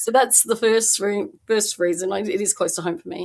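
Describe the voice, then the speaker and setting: In an Australian accent, a woman speaks at a moderate pace with a fairly high pitch and lively intonation. The recording is very clean, the background silent. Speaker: independent researcher. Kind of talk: podcast interview.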